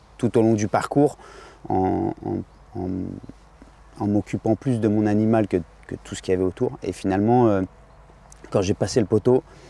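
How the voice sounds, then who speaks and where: The dark, mellow voice moves at a moderate pace with fairly even intonation and long, frequent pauses, in a dry sound with no echo. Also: man, fairly low pitch for a man. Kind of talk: interview answer. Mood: warm, reminiscing, some laughs. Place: open country.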